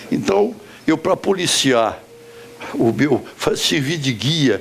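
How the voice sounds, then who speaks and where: Against noticeable background noise, a man with a fairly high voice speaks very slowly, his pitch swinging very widely. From Brazil, Minas Gerais / Espírito Santo border. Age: 80s+. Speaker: businessman and former senator. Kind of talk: storytelling talk. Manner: pausing.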